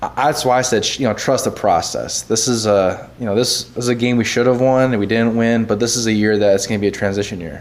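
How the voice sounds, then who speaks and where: Speaking at a very fast pace with hardly any pauses, a man with an American accent uses a medium pitch. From central Wisconsin. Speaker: former pro football player. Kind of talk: casual sports chat.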